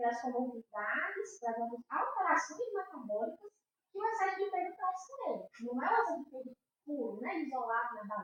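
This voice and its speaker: Her pitch sits high for a woman, and it swings across a very wide range. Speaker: endocrinologist. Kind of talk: podcast interview. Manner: fast.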